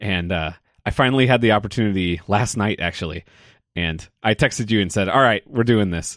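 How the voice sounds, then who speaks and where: In a very clean recording with a silent background, a man talks in a plain, everyday voice, fairly low in pitch and at a fairly quick pace, with ordinary pitch variation. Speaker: podcast co-host, former band member. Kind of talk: casual chat about a film.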